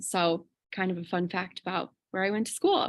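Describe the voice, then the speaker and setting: Over a quiet background, a woman speaks with an American accent. Her medium pitch shows ordinary variation, and her pace is moderate. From Chicago suburbs, Illinois, US. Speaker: kindergarten teacher. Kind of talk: interview.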